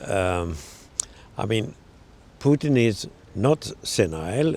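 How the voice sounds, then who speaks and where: A man talks with a Swedish accent. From Sweden. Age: 80s+. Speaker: journalist. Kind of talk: interview answer.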